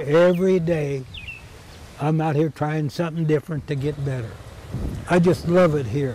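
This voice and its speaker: Over noticeable background noise, a man speaks at a moderate pace with a fairly high pitch. He uses ordinary pitch variation and takes long, frequent pauses. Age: 90s. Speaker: volunteer golf course caretaker. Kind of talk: documentary interview.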